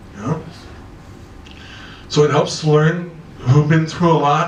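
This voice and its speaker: Noticeable background noise sits behind a man with a fairly high pitch. He speaks at a fairly slow pace with fairly even intonation. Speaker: executive coach. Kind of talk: conference talk.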